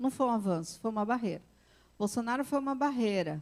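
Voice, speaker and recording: With ordinary pitch variation, this woman's voice sits high in pitch. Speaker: psychologist and conference speaker. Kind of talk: conference talk. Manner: animated.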